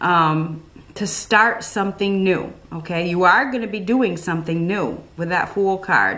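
Ordinary pitch variation in a woman's voice. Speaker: tarot reader. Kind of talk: tarot reading commentary. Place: home room.

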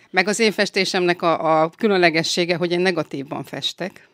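Woman at a fairly low pitch and very fast pace, with fairly even intonation, dry, close sound with no echo, and a very clean recording with a silent background. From northern Hungary, Salgótarján area. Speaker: violinist and glass painter. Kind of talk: interview. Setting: studio.

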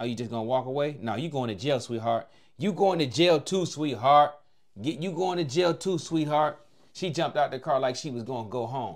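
Talking at a rather brisk clip, a man uses normal pitch movement while the background remains quiet. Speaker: reaction video host. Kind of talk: commentary. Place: home room. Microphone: lapel.

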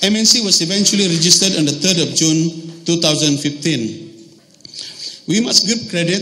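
Crowd noise fills the background. Over it, a man speaks with ordinary pitch variation. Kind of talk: formal speech. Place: hall. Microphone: podium.

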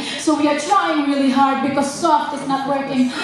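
A woman at a moderate pace amid strong room echo and light background noise. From Philippines. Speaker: stand-up comedian. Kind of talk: live stand-up comedy set. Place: stage.

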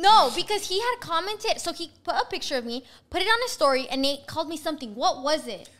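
This woman's voice is extremely high-pitched and animated, racing along at a very fast pace with very wide pitch swings. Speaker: podcast co-host. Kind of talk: casual chat. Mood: playful storytelling. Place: home room. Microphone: studio mic.

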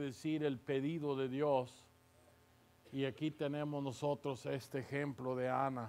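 Speaking at a very slow pace, a man delivers his words. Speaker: visiting preacher. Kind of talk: sermon. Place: church. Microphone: podium.

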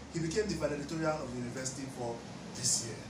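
A man talks with clearly audible noise behind him. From Nigeria. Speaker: YouTube commentator. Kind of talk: news story narration. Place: home room.

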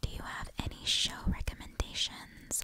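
Whispering at a very slow pace over noticeable background noise. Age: 20s. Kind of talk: ASMR whisper ramble. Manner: whispered.

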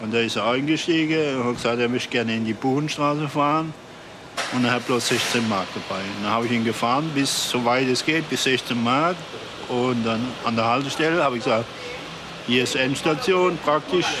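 Noticeable noise runs in the background. The man talks at a moderate speed. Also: medium pitch for a man, ordinary pitch variation. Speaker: bus and taxi driver. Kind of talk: interview.

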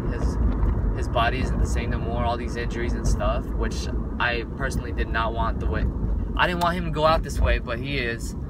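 The speaker talks at a fairly quick pace. Loud background noise sits under a dry sound with no echo. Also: man. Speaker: vlogger. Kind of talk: casual vlog chat. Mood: wistful, a bit sad. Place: car. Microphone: phone near.

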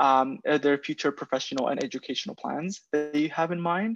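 At a moderate pace, a fairly high-pitched man talks with ordinary pitch variation in a dry sound with no echo. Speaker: program project manager; presenter. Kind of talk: webinar Q&A. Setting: video call. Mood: friendly, informative. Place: home room. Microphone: video call.

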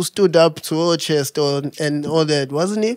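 A man talks at a moderate pace in a playful tone. The sound is dry with no echo, over a quiet background. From South Africa. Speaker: podcast host. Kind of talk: casual interview chat. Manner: playful, joking. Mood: playful, relaxed. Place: studio. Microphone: studio mic.

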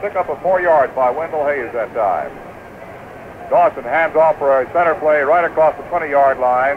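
Over noticeable background noise, a man with a fairly high voice speaks at a moderate pace. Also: ordinary pitch variation. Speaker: radio play-by-play announcer. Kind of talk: live football radio play-by-play. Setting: recorded from 1969 radio broadcast, vintage radio sound. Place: booth. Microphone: old recording.

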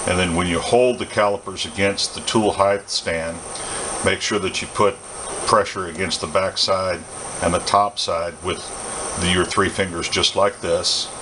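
A man's low-pitched voice, bright and sharp in tone, with fairly even intonation and faint background noise

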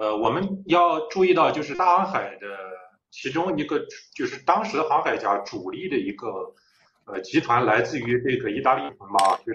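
A man's voice amid audible room echo and light background noise. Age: young. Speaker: young scholar, author; guest. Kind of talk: lecture-style discussion. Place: home room. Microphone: video call.

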